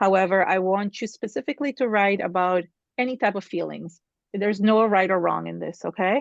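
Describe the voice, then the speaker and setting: A woman's a normal speaking voice at a medium pitch, fairly quick pace, and ordinary pitch variation, with a dry, close sound with no echo and a quiet background. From Canada. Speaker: art teacher. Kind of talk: tutorial.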